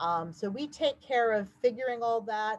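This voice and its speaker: This woman has a plain, everyday voice. She talks at a moderate pace with ordinary pitch variation. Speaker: housing agency staff presenter. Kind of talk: webinar presentation. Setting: online webinar.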